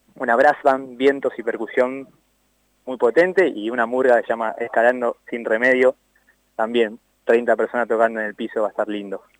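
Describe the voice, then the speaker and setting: In a normal speaking voice of medium pitch, a man talks at a moderate pace with fairly even intonation, and the sound is dry and close with no echo. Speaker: festival organizer. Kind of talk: phone interview.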